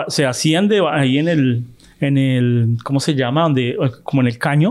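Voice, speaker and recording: A man talks fairly slowly, his pitch fairly high with ordinary pitch variation. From Colombia. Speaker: film podcast host. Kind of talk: casual chat.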